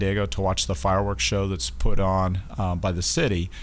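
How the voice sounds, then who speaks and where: Audible room echo surrounds a man who speaks fairly quickly with vocal fry and very wide pitch swings. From Wyoming (Casper). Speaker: naval base commanding officer. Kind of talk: interview. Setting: studio.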